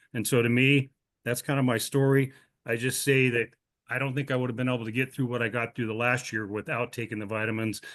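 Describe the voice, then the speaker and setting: A man talks at a very fast pace with an American accent and a monotone, flat intonation. The background is quiet. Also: medium pitch for a man. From Montana. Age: 60s. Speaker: customer giving product testimonial. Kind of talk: testimony. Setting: video call.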